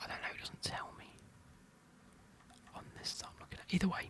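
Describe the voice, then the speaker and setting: A man whispers at a fairly quick pace against noticeable background noise. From United Kingdom. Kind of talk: ASMR whispered ramble. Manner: whispered.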